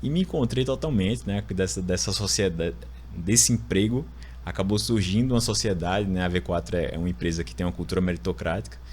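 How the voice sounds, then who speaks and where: With an Alagoas accent, a man talks at a very fast pace in a very deep, low pitch, using very wide pitch swings and vocal fry. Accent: northeastern Brazilian (Alagoas), noticeable. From Alagoas, Brazil (Maceió). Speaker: lawyer turned marketing executive. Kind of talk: podcast interview, personal story.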